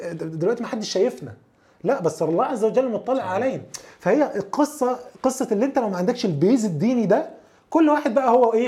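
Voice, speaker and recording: A man speaks at a moderate pace in an extremely high voice with lively intonation. His tone is dark and mellow. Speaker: software engineering manager. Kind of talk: casual chat.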